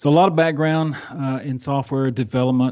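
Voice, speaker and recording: A man talks in a Southern US accent, his tone dark and mellow. His pitch varies in an ordinary way against a quiet background. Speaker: software delivery architect. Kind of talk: podcast interview. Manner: halting, many fillers.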